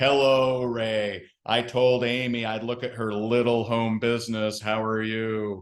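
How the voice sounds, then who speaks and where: A man puts on a booming character voice at medium pitch, keeping it monotone and flat at a fairly slow pace. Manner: pointed, jabbing.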